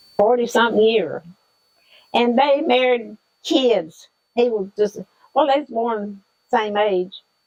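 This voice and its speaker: With a Southern US accent, a woman speaks at a fairly slow pace in a fairly high voice, with ordinary pitch variation and long, frequent pauses. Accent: Southern American. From Southern United States. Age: 80s+. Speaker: retired school lunchroom worker. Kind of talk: interview answer.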